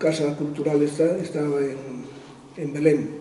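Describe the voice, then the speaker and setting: Over noticeable background noise, a man with a fairly high voice speaks at a very slow pace. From Spain, Extremadura (Garrovillas). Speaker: author and former UNESCO administrator. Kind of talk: interview answer.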